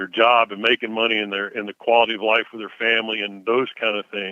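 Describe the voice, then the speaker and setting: A man speaks with a Southern US accent at a fairly quick pace. His pitch sits in the medium range. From Mississippi (Tupelo). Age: 60s. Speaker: investment firm CEO. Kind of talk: interview. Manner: hesitant, many fillers.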